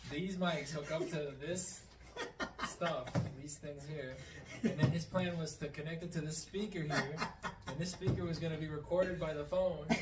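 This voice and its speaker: A man with a fairly high pitch speaks at a moderate pace, his intonation fairly even and his pauses long and frequent. Room echo is audible, and there is noticeable background noise. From Mexico (Jalisco), also US. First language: Spanish. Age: 20s. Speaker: podcast guest. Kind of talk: casual chat.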